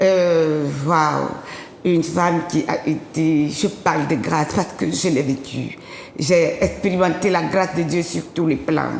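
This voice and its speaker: With an African accent, a woman speaks very slowly and fairly evenly, with noticeable background noise and audible room echo. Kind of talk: testimony. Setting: TV studio.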